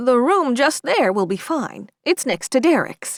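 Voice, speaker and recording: A soft-spoken woman uses a put-on character voice at a high pitch with very wide pitch swings. She goes at a fairly slow pace, with a dry, close sound and no echo. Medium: read story. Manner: murmuring, soft.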